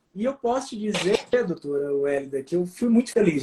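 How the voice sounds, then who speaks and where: A man talks at a fairly quick pace. His high-pitched voice has lively intonation. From Brazil, Ceará (Fortaleza, Juazeiro do Norte). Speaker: psychiatrist. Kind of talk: interview on a live stream. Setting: live video stream. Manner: hesitant, with frequent fillers and repetitions.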